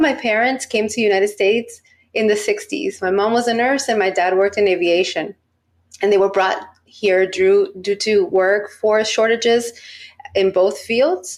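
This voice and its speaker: A normal speaking voice from a woman with an American accent, fairly high in pitch, with ordinary pitch variation, very even loudness and a moderate pace. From Miami, Florida (US). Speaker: research psychologist. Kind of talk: podcast interview.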